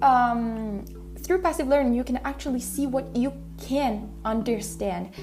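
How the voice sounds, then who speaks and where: Noticeable background noise sits behind a woman's voice. She speaks fairly slowly in an Italian accent. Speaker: language learning podcaster. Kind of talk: casual podcast monologue. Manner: halting, self-correcting.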